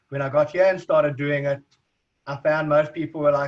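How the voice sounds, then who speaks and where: A man speaks at a fairly quick pace in a South African accent, his intonation monotone and flat. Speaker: recruitment agency owner. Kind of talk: interview. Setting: video call.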